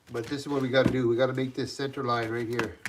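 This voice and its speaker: Amid noticeable background noise, a man at a medium pitch talks at a fairly quick pace in a monotone, flat intonation. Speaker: knifemaker. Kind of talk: live stream tutorial. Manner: loud; casual, halting.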